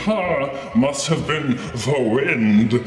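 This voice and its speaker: A man performs a put-on character voice with a clear echo. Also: medium pitch for a man. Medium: solo performance. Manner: dismissive, smug.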